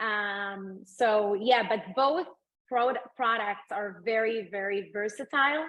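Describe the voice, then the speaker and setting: A woman with an Israeli accent, fairly high in pitch, at a very slow pace with ordinary pitch variation. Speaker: food entrepreneur and mom. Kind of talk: interview. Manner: hesitant, many fillers.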